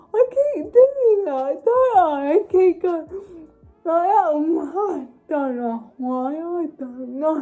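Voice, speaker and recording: Very wide pitch swings and big swings in loudness at a very slow pace, with music in the background. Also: woman, extremely high pitch for a woman. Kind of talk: casual chat.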